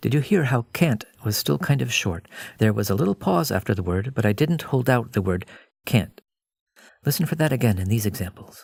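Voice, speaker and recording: A man with a North American accent talks fairly quickly in a fairly low, somewhat breathy voice with lively intonation. The recording is very clean, with a silent background. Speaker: English pronunciation teacher. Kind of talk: pronunciation lesson narration.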